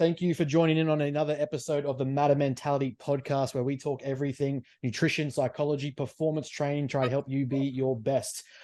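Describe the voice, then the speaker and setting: Against a quiet background, a man with an Australian accent speaks at a fairly high pitch in a dark, mellow tone. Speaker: podcast host. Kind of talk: podcast interview.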